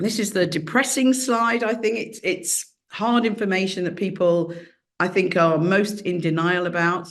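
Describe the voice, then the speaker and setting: A woman with a British accent at medium pitch, ordinary pitch variation and a fairly slow pace, with audible room echo. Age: 60s. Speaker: professor. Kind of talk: lecture.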